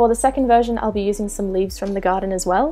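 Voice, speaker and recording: A very fast voice in an Australian accent, with ordinary pitch variation and music in the background. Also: woman. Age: 20s. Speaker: DIY craft YouTuber. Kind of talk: craft tutorial voiceover.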